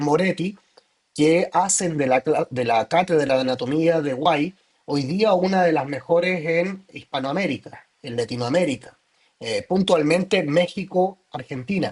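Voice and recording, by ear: In a slightly mellow tone, a man talks at a fairly slow pace, fairly high-pitched for a man with ordinary pitch variation.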